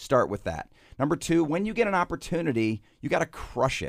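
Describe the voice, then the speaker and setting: An American-accented man with vocal fry and lively intonation speaks at a moderate pace in a very clean recording with a silent background. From Michigan. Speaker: marketing consultant, former business executive. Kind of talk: radio interview. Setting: studio.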